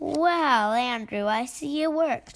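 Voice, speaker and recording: A woman's put-on character voice, high-pitched and fairly slow, with lively intonation. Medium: read story. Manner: firm but kind.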